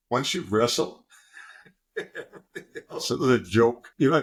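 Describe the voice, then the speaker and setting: A man speaks at a fairly slow pace with lively intonation. Vocal fry runs through his voice. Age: 60s. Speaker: former Olympic wrestler and pro football player. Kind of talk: podcast interview. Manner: animated.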